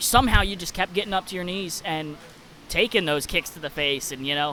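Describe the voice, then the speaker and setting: A man talks with a Kentucky accent. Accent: picked-up Kentucky accent coming out. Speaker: podcast host and wrestler. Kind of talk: casual interview.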